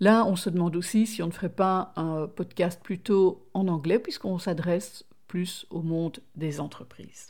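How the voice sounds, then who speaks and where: A woman with a non-native accent and fairly low pitch speaks at a fairly slow pace, with hardly any pauses and fairly even intonation, on a very clean recording with a silent background. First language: not French (speaking French). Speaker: podcast co-host. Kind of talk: casual chat.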